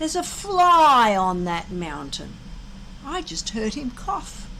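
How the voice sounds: Putting on a character voice, a woman speaks slowly at a fairly high pitch, with big pitch swings and a bright, sharp tone.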